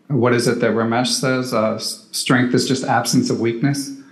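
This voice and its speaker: A man speaks at a medium pitch and a moderate pace, with audible echo from the room. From US Northeast, Philadelphia. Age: 40s. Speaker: chess podcaster and club player. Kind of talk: casual chat.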